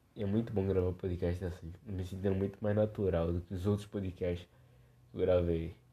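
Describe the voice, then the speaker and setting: A man with a very deep, low pitch speaks at a moderate pace in a monotone, flat intonation. His voice is somewhat breathy, and the recording is very clean with a silent background. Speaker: podcast host. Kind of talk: casual chat. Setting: lying on living room floor at home. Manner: drunken, slurred.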